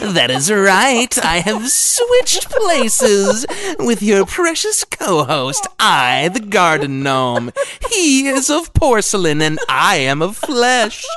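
Over clear background noise, a man puts on a character voice with a high pitch, speaking at a very slow pace. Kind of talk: comic overacting. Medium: comedy sketch. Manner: pompous, archaic, easily annoyed.

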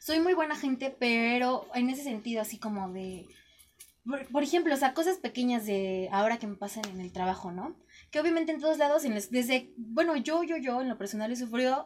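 With lively intonation, a woman speaks in a high voice at a moderate pace. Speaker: radio host. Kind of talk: casual chat.

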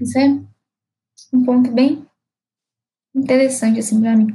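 A woman's high voice at a fairly quick pace. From Minas Gerais, Brazil (Ipatinga). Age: 20s. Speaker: podcast co-host, student and DJ. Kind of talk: casual chat.

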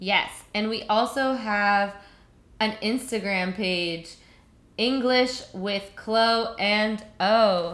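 Her voice is fairly high-pitched, with a fairly even intonation. The woman speaks at a very slow pace. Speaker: podcast co-host, English teacher turned recruiter. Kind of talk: English-learning podcast chat. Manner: slow, clear speech for learners; expressive.

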